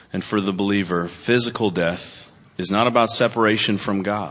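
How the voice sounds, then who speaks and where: Audible room echo colors the voice of a man talking at a moderate pace with ordinary pitch variation. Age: 40s. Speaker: pastor. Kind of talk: sermon. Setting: church.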